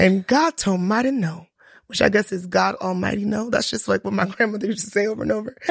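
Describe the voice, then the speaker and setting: A woman talks at a very fast pace and medium pitch, her voice somewhat breathy, with ordinary pitch variation. The recording is very clean, with a silent background. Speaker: podcast co-host, teacher. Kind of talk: casual chat.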